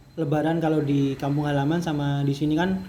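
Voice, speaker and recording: A man talks at a moderate pace with a fairly high pitch. Audible room echo surrounds his voice. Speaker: student podcast host. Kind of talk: casual interview. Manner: casual, halting with fillers.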